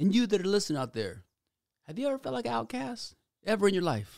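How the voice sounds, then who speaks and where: A man is speaking. His pitch swings very widely. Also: very clean recording, silent background. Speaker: podcast host. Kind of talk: solo podcast monologue. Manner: casual, slangy; halting, stumbles over words.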